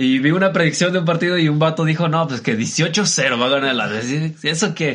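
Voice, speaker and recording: A man with a fairly high pitch, ordinary pitch variation and a fairly quick pace. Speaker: podcast co-host. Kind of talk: casual chat.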